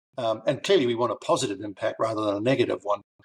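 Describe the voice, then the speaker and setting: A man talks in a New Zealand accent. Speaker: author and learning consultant. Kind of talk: interview podcast. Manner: halting, with many fillers.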